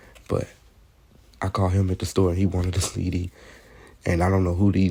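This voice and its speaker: The voice is dark and mellow, somewhat breathy, and delivered with monotone, flat intonation. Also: man. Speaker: rapper. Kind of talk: casual vlog narration over photos. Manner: soft, gentle.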